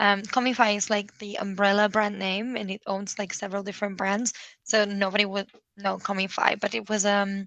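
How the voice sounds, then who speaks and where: Her medium-pitched voice moves at a fairly quick pace, as this woman speaks with monotone, flat intonation. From Spain. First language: Spanish. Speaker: SEO consultant. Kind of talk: interview.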